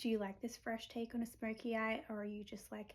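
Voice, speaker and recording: Somewhat breathy, flat, monotone delivery at a moderate pace. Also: woman. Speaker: makeup tutorial creator. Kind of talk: tutorial. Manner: casual, chatty.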